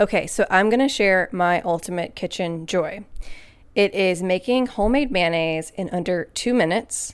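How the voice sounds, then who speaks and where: This is a woman with a normal speaking voice, pitched medium with ordinary pitch variation. She speaks at a moderate pace in a very clean recording with a silent background. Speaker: podcast host. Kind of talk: scripted narration.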